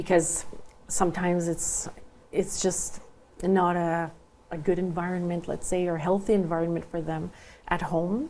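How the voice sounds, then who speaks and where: A woman with a French accent speaks at a fairly low pitch in a dark, mellow tone. Her intonation is monotone and flat, broken by long, frequent pauses. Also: moderate pace. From Saint Boniface, Manitoba (Franco-Manitoban). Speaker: school trustee candidate. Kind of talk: interview. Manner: hesitant, many fillers.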